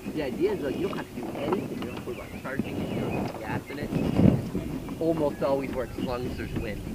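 Fairly quick speech with loud background noise and a dry sound with no echo. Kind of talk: casual vlog chat. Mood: relaxed, patient. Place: boat.

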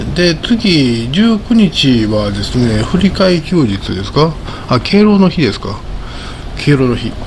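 A fairly high-pitched man speaking at a very slow pace, with noticeable background noise. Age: 60s. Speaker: market commentator. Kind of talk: solo commentary video. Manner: casual, rambling with laughs. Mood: relaxed, often smiling. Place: home room. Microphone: studio mic.

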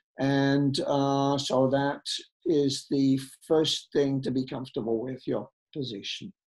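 Against a quiet background, the speaker goes at a very slow pace. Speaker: art critic and author leading a slow-looking session. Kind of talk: lecture. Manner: halting, relaxed, with fillers. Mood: calm, gentle.

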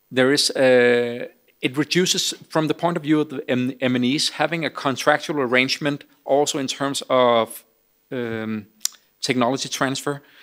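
A man talks fairly slowly, his intonation fairly even, with a quiet background. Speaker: speaker. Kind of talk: Q&A answer at a conference. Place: hall. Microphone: podium.

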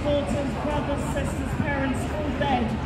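The recording carries audible room echo and loud background noise. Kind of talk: protest speech delivered to a crowd, solemn and accusatory. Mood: grave, indignant. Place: street. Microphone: camera far.

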